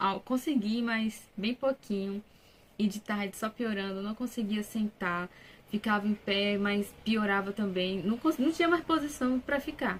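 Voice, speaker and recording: This woman's voice is somewhat breathy and fairly high in pitch. She talks at a fairly slow pace with ordinary pitch variation. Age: 20s. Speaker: vlogger, new mother. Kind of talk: personal testimony, casual vlog. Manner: casual, conversational.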